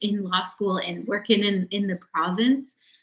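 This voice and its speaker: She speaks with a Maritime Canadian accent. The woman's pitch is medium and her intonation fairly even. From New Brunswick, Mi'kmaq community. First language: Mi'kmaq. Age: young. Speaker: lawyer. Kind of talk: interview. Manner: halting.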